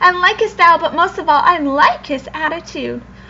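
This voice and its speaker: A squeaky, put-on character voice speaks at a moderate pace. Clear background noise runs underneath. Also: woman, extremely high pitch for a woman. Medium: read story.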